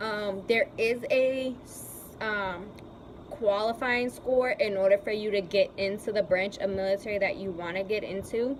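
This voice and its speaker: Against noticeable background noise, a woman speaks at a moderate pace and medium pitch, with fairly even intonation. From Puerto Rican heritage. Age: 20s. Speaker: Army recruit. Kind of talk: casual talk to camera.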